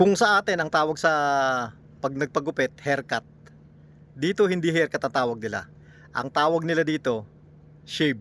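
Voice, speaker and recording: With lively intonation and a fairly high pitch, a man talks at a moderate pace, leaving long, frequent pauses. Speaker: overseas worker vlogger. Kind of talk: vlog narration.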